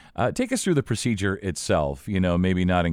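The audio is very clean, and the background is silent. A man delivers his lines at a very fast pace. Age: 50s. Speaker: podcast host. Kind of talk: interview.

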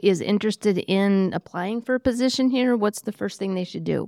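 In a normal speaking voice, a woman with an American accent talks at a medium pitch with fairly even intonation, recorded very cleanly against a silent background in a dry, close sound with no echo. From Iowa. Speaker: podcast host. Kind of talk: casual chat.

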